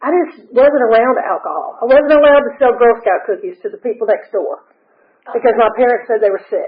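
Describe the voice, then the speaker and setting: At a moderate pace, a woman talks with an Atlanta accent. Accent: Southern US (Atlanta). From US South. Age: 60s. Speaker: recovery speaker. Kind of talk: testimony.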